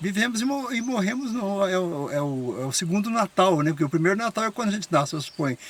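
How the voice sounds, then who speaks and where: Hardly pausing, a man races at a very fast pace in a high pitch with very wide pitch swings. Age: 70s. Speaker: interviewee, elderly local resident. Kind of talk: casual interview chat.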